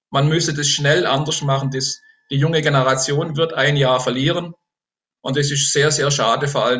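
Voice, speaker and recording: A man speaks at a moderate pace with an unremarkable speaking voice. His pitch sits fairly high. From Baden, Germany (Enzkreis near Pforzheim). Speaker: politician, retired teacher. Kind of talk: election interview. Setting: video call.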